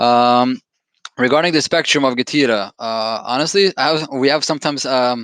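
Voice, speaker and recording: The speaker has a non-native accent and ordinary pitch variation. The sound is dry and close with no echo, over a quiet background. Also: man. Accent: foreign accent, noticeable. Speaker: company founder and executive. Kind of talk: podcast interview. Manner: fast; animated.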